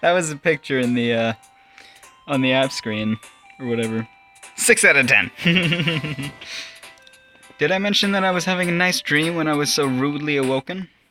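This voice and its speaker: Speech at a moderate pace broken by long, frequent pauses, with music in the background. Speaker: gaming video host. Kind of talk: casual talk to camera, commenting on a game.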